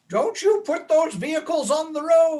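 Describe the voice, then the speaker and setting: A high-pitched, put-on character voice delivers its lines at a moderate pace. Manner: grumpy, protesting.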